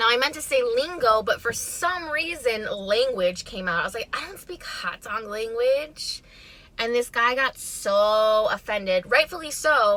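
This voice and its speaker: Noticeable background noise behind a woman with a fairly high pitch, lively intonation, big swings in loudness and a fairly slow pace. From Chicago, northwest side. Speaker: mukbang vlogger. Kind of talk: casual storytime while eating.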